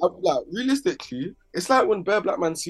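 This man has a London accent. His pitch swings very widely. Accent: London English, multicultural London. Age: 20s. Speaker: rapper. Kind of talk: casual chat.

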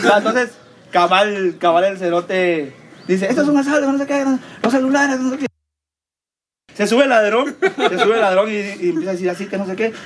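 A man with a Guatemalan accent talks at a fairly quick pace, animated and with lively intonation. He leaves long, frequent pauses. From Guatemala, Villa Nueva. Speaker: podcast co-host. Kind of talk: casual chat.

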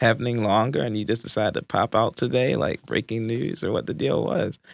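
At a fairly quick pace, a man speaks in a medium pitch with vocal fry. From Baltimore, Maryland. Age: 20s. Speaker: journalism student. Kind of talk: casual chat. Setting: studio.

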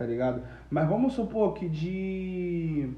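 A man's high voice with very wide pitch swings and audible room echo. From Brazil, Nilópolis (Rio de Janeiro area). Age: 20s. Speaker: digital marketer. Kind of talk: casual chat.

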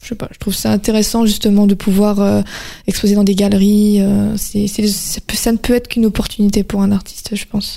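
Her voice somewhat breathy and dark, mellow in tone, a woman moves at a fairly quick pace at medium pitch with monotone, flat intonation. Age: 20s. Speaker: painter. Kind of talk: interview. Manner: halting.

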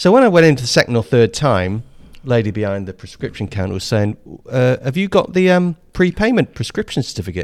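Speaking at a fairly quick pace with a southern English accent, a man holds a medium pitch while making very wide pitch swings. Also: dry, close sound with no echo. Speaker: podcast co-host. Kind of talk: casual banter chat. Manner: jokey, self-mocking, talks over partner.

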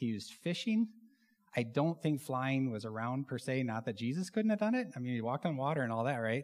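A man with an American accent uses an ordinary speaking voice at a medium pitch, with lively intonation and a fairly quick pace. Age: 40s. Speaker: church elder and pilot giving a sermon. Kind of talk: sermon. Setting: church stage with congregation. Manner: casual, with many filler words.

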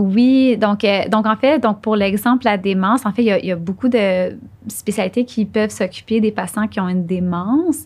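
A woman talks at a moderate pace with very even loudness. Her somewhat breathy voice sits at a medium pitch with ordinary pitch variation. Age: young. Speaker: neurologist. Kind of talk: interview.

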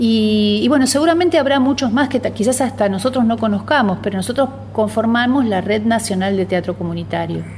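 Against noticeable background noise, a woman with a fairly high pitch talks at a fairly quick pace with hardly any pauses, very even loudness and ordinary pitch variation. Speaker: community theatre organizer. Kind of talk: radio interview.

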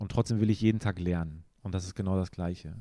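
On a very clean recording with a silent background, a man speaks at a fairly low pitch in a dark, mellow tone with fairly even intonation. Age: 30s. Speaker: photographer. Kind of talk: interview.

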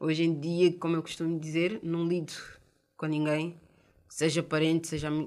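A woman speaks at a moderate pace with a fairly low pitch and an unremarkable speaking voice. The recording is very clean, with a silent background. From Portugal, of Cape Verdean and Guinean parents. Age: 30s. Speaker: mother of five sharing her life story. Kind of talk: personal testimony.

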